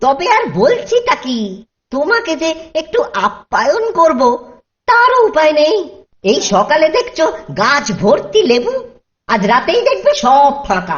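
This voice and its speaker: A high, cartoonish character voice moves at a fairly slow pace with very wide pitch swings. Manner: grumbling, mutters to himself, sly.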